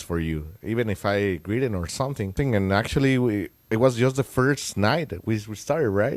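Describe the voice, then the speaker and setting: Hardly pausing, a man with a Spanish accent talks at a moderate pace. His voice is fairly low, with ordinary pitch variation. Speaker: songwriter and musician. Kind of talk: casual interview. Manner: halting.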